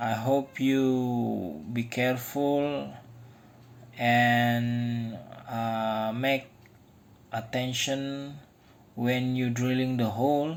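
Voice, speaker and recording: Someone with an Indonesian accent speaks at a very slow pace, with long, frequent pauses. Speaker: DIY tool maker. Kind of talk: tutorial. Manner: halting.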